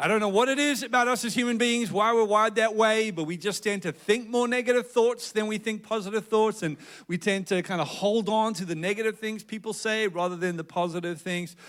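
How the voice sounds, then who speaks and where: Hardly pausing, a man with a South African accent talks at a fairly quick pace and a high pitch, with ordinary pitch variation. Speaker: pastor. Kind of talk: sermon. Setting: church with congregation.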